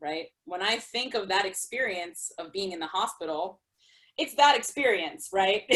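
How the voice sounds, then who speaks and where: With an unremarkable speaking voice, a woman at a medium pitch talks at a moderate pace, her intonation lively and her loudness swinging widely. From New York City. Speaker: artist, storyteller and spoken word performer. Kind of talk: interview answer.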